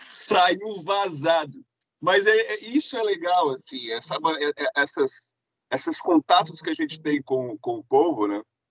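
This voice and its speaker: A man's high-pitched voice at a fairly slow pace, with very wide pitch swings, in a dry, close sound with no echo. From Minas Gerais, Brazil. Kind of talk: storytelling in live stream chat. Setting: live stream. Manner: animated.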